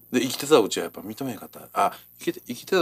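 Very fast speech from a man with a medium pitch, in a Kansai accent. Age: 40s. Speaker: radio co-host, shop owner. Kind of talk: casual chat.

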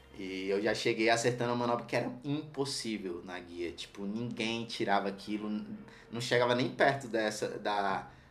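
Audible room echo surrounds the speaker. He is a man with a medium pitch. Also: ordinary pitch variation, moderate pace. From Brazil, Ceilândia (Federal District). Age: 30s. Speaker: skateboarder and streetwear brand owner. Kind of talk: casual chat.

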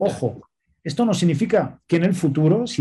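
The man's voice has a dark, mellow tone and is somewhat breathy. He speaks at a moderate pace. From Spain. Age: 40s. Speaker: nonprofit director. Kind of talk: interview.

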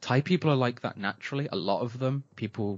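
A man speaks with an East Midlands accent. His pitch varies in an ordinary way at a moderate pace. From England, Nottingham area. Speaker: podcast co-host, cannabis grower. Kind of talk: casual chat.

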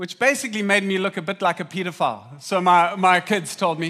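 The voice has a bright, sharp tone and an animated delivery at a fairly quick pace. Its pitch varies in an ordinary way. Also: man, very clean recording, silent background. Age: 40s. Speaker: pastor. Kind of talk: sermon.

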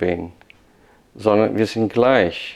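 This man speaks in a Portuguese accent. His pace is very slow. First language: Portuguese (speaking German). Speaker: pastor. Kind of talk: casual chat.

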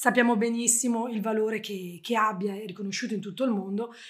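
A woman with a fairly high pitch talks at a moderate pace, keeping her intonation fairly even. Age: 40s. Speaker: travel blogger. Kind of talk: interview. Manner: talkative.

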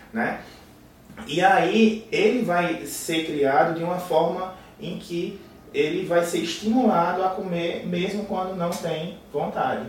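Against noticeable background noise, a man with a high pitch speaks at a very slow pace. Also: fairly even intonation. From Paraíba, Brazil. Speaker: bariatric surgeon. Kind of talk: podcast interview.

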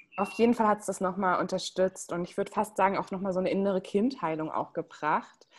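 A woman at a medium pitch, very fast, with hardly any pauses and fairly even intonation. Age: 20s. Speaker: human design coach. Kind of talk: casual interview.

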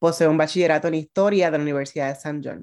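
A woman with a very deep, low voice speaks over a quiet background. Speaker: radio host. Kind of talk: interview; scripted introduction.

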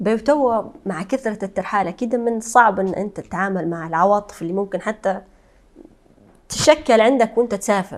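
Here is an ordinary speaking voice: a woman at medium pitch with ordinary pitch variation, talking at a moderate pace. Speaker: podcast host. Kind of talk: interview.

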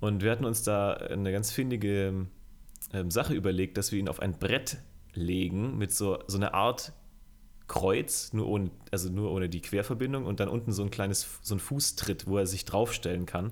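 At a moderate pace, a man with an unremarkable speaking voice talks fairly low in pitch, his pitch varying in an ordinary way. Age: 20s. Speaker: music video director. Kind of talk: casual chat.

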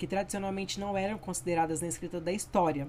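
A woman has an ordinary speaking voice, a fairly low pitch and fairly even intonation. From Brazil, Campo Grande (Mato Grosso do Sul). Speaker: history student. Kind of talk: educational podcast presentation.

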